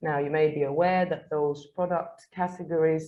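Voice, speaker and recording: A woman with a very deep, low pitch speaks at a moderate pace in a monotone, flat intonation. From northern England, Manchester. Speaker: English teacher and guest speaker. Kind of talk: webinar talk. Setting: livestreamed webinar.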